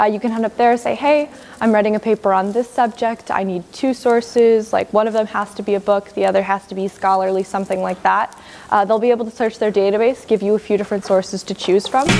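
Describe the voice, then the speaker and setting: A woman's fairly high voice at a very fast pace, with fairly even intonation and noticeable background noise. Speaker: campus tour guide. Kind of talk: guided campus tour. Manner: lowers voice inside the library.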